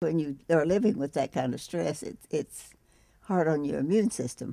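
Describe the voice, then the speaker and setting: A woman's very deep, low voice carries vocal fry, a dark, mellow tone and lively intonation at a moderate pace. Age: 80s+. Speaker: cancer patient. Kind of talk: interview answer.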